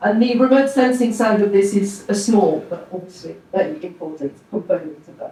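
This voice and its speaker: Lively intonation with a slight French accent at a moderate pace, over noticeable background noise. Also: woman. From France. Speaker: oceanography professor. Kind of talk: presentation to an audience. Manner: relaxed, with frequent fillers.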